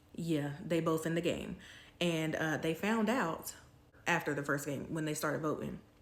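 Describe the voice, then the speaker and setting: A woman with an American accent and a fairly low pitch, in audible room echo. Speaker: YouTuber, TV reviewer. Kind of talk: casual review vlog. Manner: casual, chatty with fillers.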